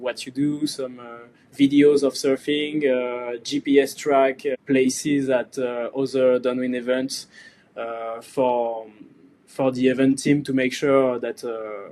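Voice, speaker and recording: In a French accent, a man speaks very slowly at medium pitch with a dark, mellow tone, monotone, flat intonation and big swings in loudness. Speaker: surfboard core maker and event organizer. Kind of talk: podcast interview. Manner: hesitant, many fillers.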